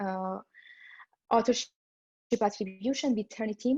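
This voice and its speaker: A somewhat breathy, dark and mellow voice with a non-native accent, at a moderate pace with ordinary pitch variation, over a quiet background. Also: woman. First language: not English. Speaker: machine learning director, talk speaker. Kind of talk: conference talk. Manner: hesitant, many fillers.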